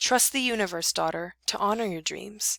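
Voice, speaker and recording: This female-sounding, raspy put-on character voice sits at a medium pitch for a woman and moves at a moderate pace. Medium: read story. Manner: earnest, instructive.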